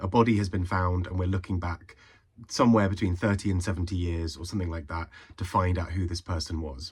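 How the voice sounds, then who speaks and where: With fairly even intonation, the speaker's voice comes out somewhat breathy. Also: man. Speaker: book reviewer. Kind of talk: casual talk to camera.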